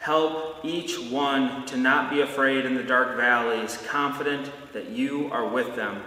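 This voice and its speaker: At a fairly slow pace, a man with a fairly high pitch and a warm tone speaks with ordinary pitch variation amid audible room echo. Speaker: pastor. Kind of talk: blessing and fervent prayer, pastoral address. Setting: church video message recorded for online viewers. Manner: warm, earnest, reassuring; repetitive, rhythmic, fervent in prayer. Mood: warm, reassuring. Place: church.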